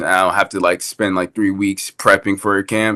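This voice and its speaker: Against a quiet background, a man with a bright, sharp tone speaks at a moderate pace in a fairly low pitch. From New York. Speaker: amateur MMA fighter. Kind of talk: casual chat. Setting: video call.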